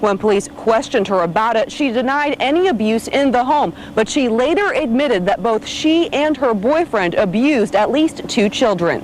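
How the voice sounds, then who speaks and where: A woman with a high pitch speaks at a moderate pace with hardly any pauses, her pitch swinging very widely. Her loudness stays very even over noticeable background noise. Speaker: TV news anchor and reporter. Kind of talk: TV news anchor and reporter reel.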